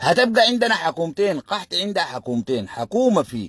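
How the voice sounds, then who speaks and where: With very wide pitch swings, a man speaks at a moderate pace in a dry, close sound with no echo. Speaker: political commentator. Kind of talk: livestream commentary. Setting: live stream. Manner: animated.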